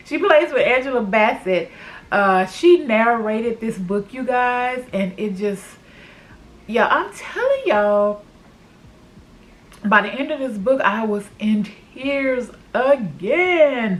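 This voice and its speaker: Through noticeable background noise, a woman with a fairly high pitch and lively intonation speaks very slowly, with long, frequent pauses. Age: 50s. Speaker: booktuber. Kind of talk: casual talk to camera.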